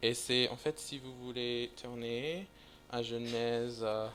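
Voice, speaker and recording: A man with a non-native accent speaks at a very slow pace. His tone is bright and sharp, at a medium pitch. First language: English (speaking French). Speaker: visiting preacher. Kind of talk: sermon. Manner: halting, many hesitations.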